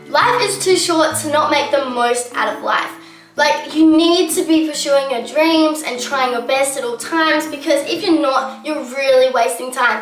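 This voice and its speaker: A woman's high voice at a moderate pace, with ordinary pitch variation and music in the background. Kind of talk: casual talk to camera.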